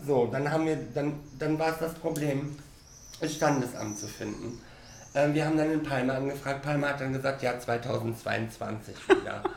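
Fairly high-pitched man, audible room echo and noticeable background noise. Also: fairly even intonation, moderate pace. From Cologne, Germany. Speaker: hairdresser. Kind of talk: casual chat. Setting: hair salon.

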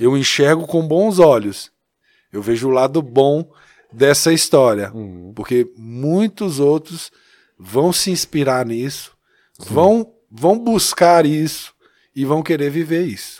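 A man talks at a very slow pace in a fairly high voice. His intonation is lively, and he pauses long and often. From Minas Gerais, Brazil (Taiobeiras, near Montes Claros). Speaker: church youth ministry leader. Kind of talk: casual chat.

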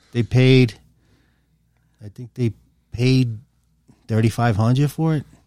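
With a New York accent, a man speaks fairly slowly at medium pitch, his tone dark and mellow and his intonation fairly even. Long, frequent pauses break up the dry, close sound with no echo. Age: 60s. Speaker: guest, father of co-guest. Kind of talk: casual chat.

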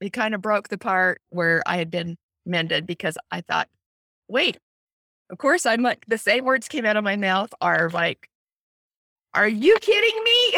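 Recorded with a dry, close sound and no echo, a woman speaks at a moderate pace with long, frequent pauses. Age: 60s. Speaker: retired teacher, grandmother. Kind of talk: testimony. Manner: halting.

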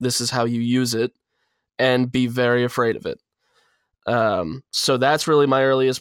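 A man's medium-pitched voice in an American accent, at a moderate pace with monotone, flat intonation, recorded dry and close with no echo. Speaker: blogger guest. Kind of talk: casual chat.

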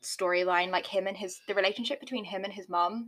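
Talking at a very fast pace, a woman with a British accent has a medium pitch and a bright, sharp tone. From Britain. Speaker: podcast co-host. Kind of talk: casual chat.

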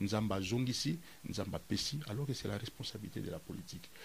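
This man's voice is somewhat breathy, with lively intonation. He talks at a fairly quick pace. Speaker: cultural theorist. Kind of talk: interview.

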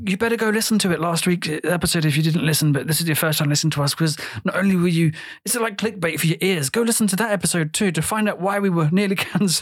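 A man talks very fast at a high pitch, with ordinary pitch variation. His loudness stays very even. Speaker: podcast host. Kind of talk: casual chat. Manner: animated.

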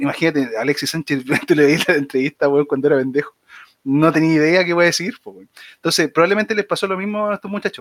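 A man speaks at a very fast pace with a high pitch and ordinary pitch variation. The sound is dry and close, with no echo. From Chile, Viña del Mar. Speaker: podcast co-host. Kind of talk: casual chat. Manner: halting, many repetitions.

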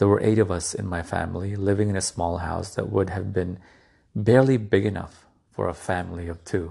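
Against a quiet background, a man with a very deep, low pitch speaks in a dark, mellow, somewhat breathy tone with fairly even intonation. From grew up poor. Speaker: motivational speaker. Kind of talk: motivational talk. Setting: podcast.

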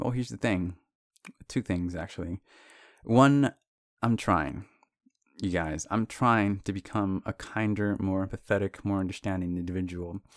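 Long, frequent pauses break up this man's very deep, low voice, which moves at a moderate pace with ordinary pitch variation in a very clean, dry, close recording with a silent background and no echo. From Mexican heritage. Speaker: solo podcaster, writer. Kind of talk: stream of consciousness monologue. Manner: casual, profane.

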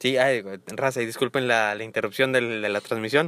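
With an ordinary speaking voice and fairly even intonation, a man is heard in a very clean, silent-background recording that sounds dry and close with no echo. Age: 20s. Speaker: marketing professional. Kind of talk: casual chat.

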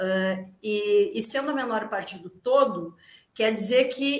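A woman whose pitch swings very widely as she talks. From Rio Grande, southern Brazil. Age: 40s. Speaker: theatre actress. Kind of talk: casual interview chat. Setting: video call live stream from home.

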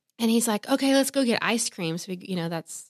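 In a very clean recording with a silent background, a woman with an American accent speaks in a plain, everyday voice, fairly high in pitch, with ordinary pitch variation. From Texas, Houston. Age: 30s. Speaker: senior pastor. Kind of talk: casual chat.

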